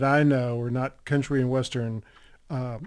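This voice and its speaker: A man with a Texan accent at a moderate pace, in a very clean recording with a silent background. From Texas. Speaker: western novelist. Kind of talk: radio interview.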